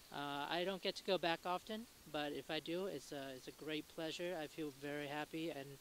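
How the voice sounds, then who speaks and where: His pitch is fairly high, and the intonation stays fairly even. The man keeps a moderate pace. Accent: Vietnamese. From Vietnam. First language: Vietnamese. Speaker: passerby interviewee. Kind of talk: street interview. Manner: halting.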